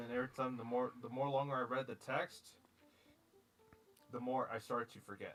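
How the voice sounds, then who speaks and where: This man has a normal speaking voice at a medium pitch, with an American accent. He talks at a moderate pace. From US. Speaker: streamer. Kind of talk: casual chat.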